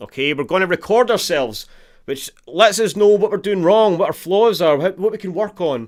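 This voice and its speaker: A man's high-pitched, animated voice in a Scottish accent, with lively intonation at a moderate pace. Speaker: guitar teacher. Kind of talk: live online guitar lesson.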